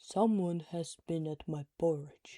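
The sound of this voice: A gruff, put-on character voice at a middle pitch moves at a fairly slow pace.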